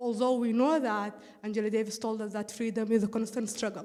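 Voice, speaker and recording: This woman has a non-native accent. She speaks with a fairly high pitch. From East Africa. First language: not English. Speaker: audience participant. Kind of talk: audience comment in a group call. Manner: halting, with fillers.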